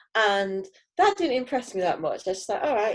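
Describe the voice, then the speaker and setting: A woman speaks with a northern English accent and ordinary pitch variation. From northern England, Heywood near Manchester. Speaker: teacher, cross stitch hobbyist. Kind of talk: casual interview.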